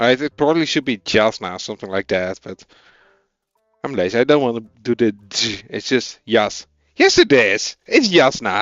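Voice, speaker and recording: Music plays behind a man with a Dutch accent. He talks at a moderate pace with lively intonation. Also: medium pitch for a man. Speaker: programming streamer. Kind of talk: live coding stream, casual chat with viewers. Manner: casual, hesitant.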